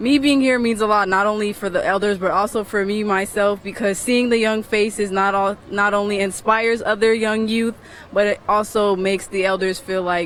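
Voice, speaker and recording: A woman at medium pitch, monotone with flat intonation, at a moderate pace with hardly any pauses, against noticeable background noise. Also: very even loudness. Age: young. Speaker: protester. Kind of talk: street interview.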